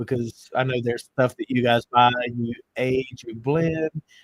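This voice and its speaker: Recorded dry and close with no echo, the speaker has a strong Southern US accent, a fairly slow pace and ordinary pitch variation. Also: man. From US South. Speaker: bourbon podcast host. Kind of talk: casual chat.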